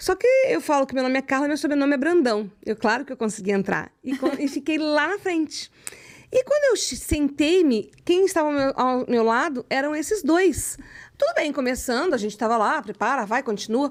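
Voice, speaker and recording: Speaking at a moderate pace in a Rio de Janeiro accent, a woman uses lively intonation at a high pitch. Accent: carioca accent, kept. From Rio de Janeiro, Brazil. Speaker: psychoanalyst, writer and speaker. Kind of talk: casual interview chat. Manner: animated.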